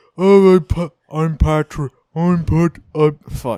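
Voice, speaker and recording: Putting on a character voice, a man speaks in a fairly high pitch at a fairly slow pace. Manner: dopey.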